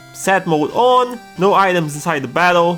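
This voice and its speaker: With a non-native accent and lively intonation, a man with a high pitch talks over music in the background. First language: not English. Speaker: gaming YouTuber. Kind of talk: gameplay commentary narration.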